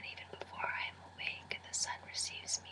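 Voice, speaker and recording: A man whispering at a fairly slow pace, with noticeable background noise. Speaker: Spanish major student. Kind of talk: poetry reading in a whisper. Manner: whispered, soft, relaxing.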